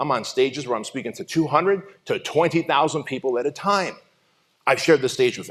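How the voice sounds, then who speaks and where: With lively intonation and a fairly high pitch, a man is talking. Vocal fry runs through his voice. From Southern California (Santa Ana). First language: not English. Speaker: motivational speaker. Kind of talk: keynote speech. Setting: stage with audience.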